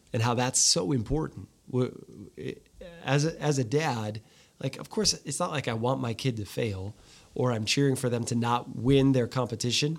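Heard on a very clean recording with a silent background, a man uses an unremarkable speaking voice, medium in pitch with ordinary pitch variation, at a moderate pace. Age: 40s. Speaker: podcast host. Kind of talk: casual interview.

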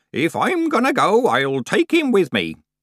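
In a put-on character voice, a man speaks fairly slowly at a high pitch with very wide pitch swings and a fairly bright tone, recorded very cleanly against silence with a dry, close sound and no echo.

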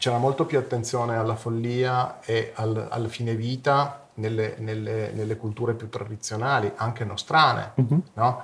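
A man speaks at a medium pitch and a moderate pace with hardly any pauses. His voice is somewhat breathy, and his intonation is fairly even. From Italy, Turin. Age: 50s. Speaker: psychedelic research network co-founder. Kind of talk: interview. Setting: live stream. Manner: halting, many repetitions.

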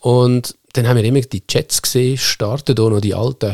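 With a Lucerne accent, a man speaks at a fairly quick pace in a dark, mellow tone with fairly even intonation, the sound dry and close with no echo. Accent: Swiss German, Lucerne dialect. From Switzerland, Lucerne area (Seetal). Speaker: media manager, former journalist. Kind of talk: casual chat.

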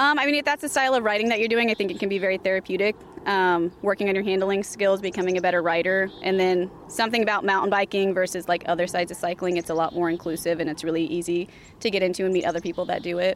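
A woman with an American accent, medium in pitch, with ordinary pitch variation at a very fast pace. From California. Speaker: trail club organizer. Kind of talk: interview.

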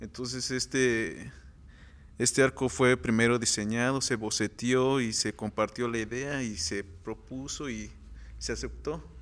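A normal speaking voice with ordinary pitch variation at a fairly slow pace. The recording is very clean, with a silent background. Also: man, medium pitch for a man. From Morelos, Mexico. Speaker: muralist. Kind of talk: interview.

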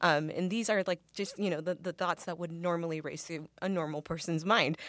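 At a fairly quick pace, an unremarkable speaking voice comes through in a very clean recording with a silent background. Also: woman. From Mexican-American background. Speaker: actress. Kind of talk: interview. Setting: studio.

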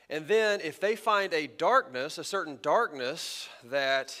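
Speaking with an American accent, a man has a bright, sharp tone and lively intonation. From Texas. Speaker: pastor. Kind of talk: sermon. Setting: church sanctuary.

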